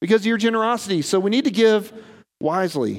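Pitched extremely high, a man talks at a fairly quick pace. His pitch varies in an ordinary way. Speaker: pastor. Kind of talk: sermon. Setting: church. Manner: fast.

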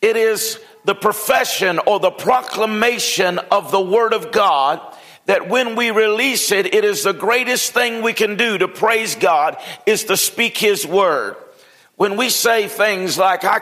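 Against noticeable background noise, a man with a high pitch talks very slowly, his loudness very even and his pitch varying in an ordinary way. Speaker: pastor. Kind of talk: sermon. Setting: church.

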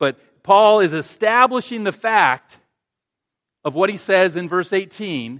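The voice moves at a very slow pace, with a dry, close sound with no echo against a quiet background. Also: man. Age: 50s. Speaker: pastor. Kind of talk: sermon. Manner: halting.

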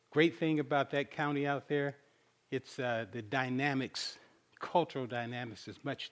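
This man uses a normal speaking voice at medium pitch, keeping a moderate pace and fairly even intonation. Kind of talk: sermon.

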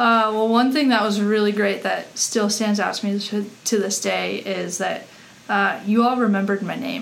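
Noticeable background noise and audible room echo surround a woman with an American accent who speaks at a moderate pace in a medium pitch with fairly even intonation. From Colorado. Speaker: former college athlete. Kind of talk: casual chat.

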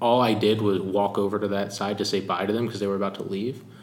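With an American accent, a man speaks in a fairly low pitch and monotone, flat intonation, with audible room echo around him. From US Northeast, Philadelphia. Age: 30s. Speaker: pastor. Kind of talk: interview.

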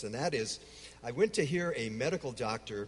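This man speaks in an American accent at medium pitch, with a somewhat breathy voice. His pace is moderate and his intonation lively. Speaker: speaker on Islam, longtime Middle East missionary.

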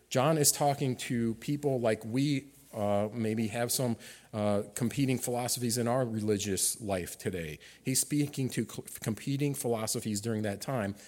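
A man of medium pitch speaks in a normal speaking voice at a moderate pace, with ordinary pitch variation. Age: middle-aged. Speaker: guest preacher, ministry candidate. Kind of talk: sermon. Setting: church service.

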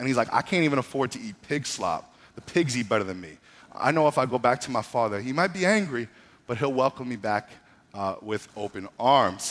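Speaking at a fairly quick pace, a man with a medium pitch has an animated tone. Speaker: pastor. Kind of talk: sermon. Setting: church service livestreamed online. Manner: fast-talking.

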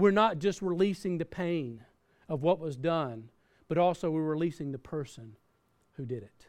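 With a Southern US accent, a man speaks at a moderate pace in a fairly high pitch, using lively intonation, big swings in loudness and long, frequent pauses. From US South. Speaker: pastor. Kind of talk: sermon. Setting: church.

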